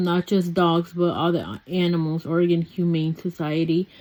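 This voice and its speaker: At a moderate pace, a woman speaks in a fairly low pitch with a dark, mellow tone. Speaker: lifestyle vlogger. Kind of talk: casual vlog talk. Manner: rambling with fillers.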